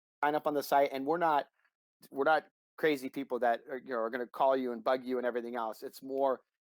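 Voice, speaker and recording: A man's medium-pitched voice, dry and close with no echo, on a very clean recording with a silent background. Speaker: trading systems broker, former floor trader. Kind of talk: casual interview, explaining a trading platform. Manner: fast; animated.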